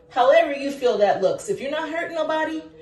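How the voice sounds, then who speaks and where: Loud and animated, a woman talks in a high pitch amid noticeable background noise and audible room echo. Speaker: teacher and vlogger. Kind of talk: casual monologue to camera. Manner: loud, projecting.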